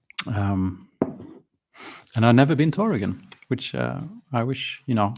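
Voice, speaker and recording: Speaking with a Swedish accent, a man uses lively intonation at medium pitch. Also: moderate pace. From Sweden, schooled abroad in English. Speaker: miniature painting streamer. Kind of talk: live stream chat. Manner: hesitant, many fillers.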